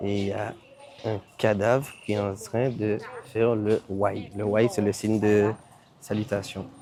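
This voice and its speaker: Quiet and fairly low-pitched, a man speaks very slowly in a monotone, flat delivery with long, frequent pauses over noticeable background noise. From Martinique. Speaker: travel vlogger. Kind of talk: travel vlog.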